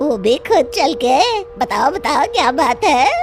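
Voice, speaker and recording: A cartoonish character voice, high-pitched with very wide pitch swings, moves at a moderate pace. Clear background noise runs underneath. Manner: cackling, mocking.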